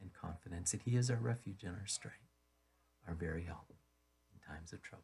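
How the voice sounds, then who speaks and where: A man with a very deep, low pitch sounds somewhat breathy. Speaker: pastor. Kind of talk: sermon. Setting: radio broadcast.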